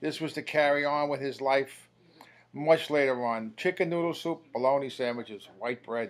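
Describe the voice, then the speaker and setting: This man speaks with a New York accent and a fairly high voice. His pace is moderate and his pitch varies in an ordinary way. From New York City, Queens. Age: 60s. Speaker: eulogist, brother of the deceased. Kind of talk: eulogy.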